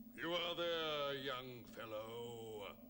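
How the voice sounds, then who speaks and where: Over clear background noise, a man puts on a character voice at medium pitch. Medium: read story.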